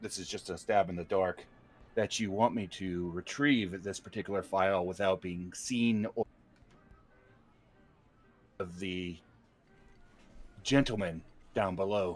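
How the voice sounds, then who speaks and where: In a put-on character voice, a man talks at a moderate pace, raspy and very deep and low in pitch. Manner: quiet.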